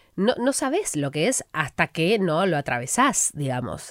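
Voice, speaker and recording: At a fairly slow pace, a woman talks with a very deep, low pitch. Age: 30s. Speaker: sports journalist and broadcaster. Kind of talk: interview.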